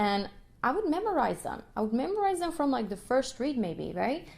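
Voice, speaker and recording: Here a woman speaks in an animated tone. Her intonation is lively. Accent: Russian. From Ukraine, Kyiv. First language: Russian. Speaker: violinist and music educator. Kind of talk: podcast monologue. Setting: live stream.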